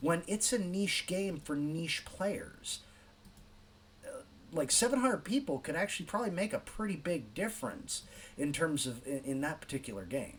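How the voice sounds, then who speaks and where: With an American accent and lively intonation, a man talks at a moderate pace in an ordinary speaking voice. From California. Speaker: YouTube commentator. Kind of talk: reaction commentary.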